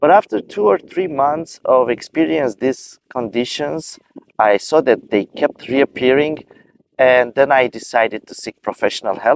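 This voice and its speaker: Speaking with a non-native accent, a man keeps a fairly slow pace and medium pitch with lively intonation. The sound is dry and close, with no echo. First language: not English. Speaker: video creator sharing personal experience. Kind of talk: personal advice talk. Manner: halting.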